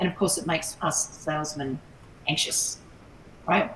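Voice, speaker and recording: Background noise is noticeable. Through it, a woman talks. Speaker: sales trainer. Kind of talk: online workshop. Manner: fast.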